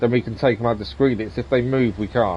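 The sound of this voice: At a fast pace, a man talks with a medium pitch and ordinary pitch variation.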